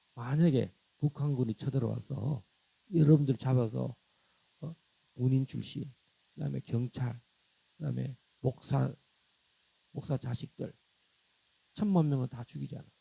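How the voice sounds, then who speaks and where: The voice has a dark, mellow tone, somewhat breathy, with ordinary pitch variation and big swings in loudness. Long, frequent pauses break up the speech, and the sound is dry and close with no echo. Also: man. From South Korea, countryside. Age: 60s. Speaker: pastor. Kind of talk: sermon. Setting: church. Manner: animated.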